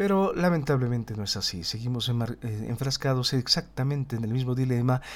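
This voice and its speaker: A man with a medium pitch talks at a moderate pace on a very clean recording with a silent background. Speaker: political analysis podcaster; teacher. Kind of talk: solo political commentary. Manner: stumbles over words at times; tense, somewhat dramatic narration.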